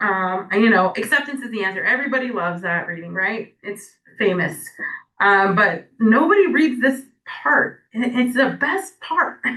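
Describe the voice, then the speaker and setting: A woman with an American accent, a fairly high pitch and a bright, sharp tone, at a moderate pace with very wide pitch swings. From California. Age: 30s. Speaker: AA speaker. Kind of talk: recovery testimony talk. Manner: casual, filler-heavy.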